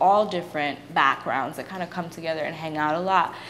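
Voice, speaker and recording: A woman with an American accent speaks in a fairly low voice. Noticeable background noise runs underneath. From Brooklyn, New York. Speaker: university student. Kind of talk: interview answer.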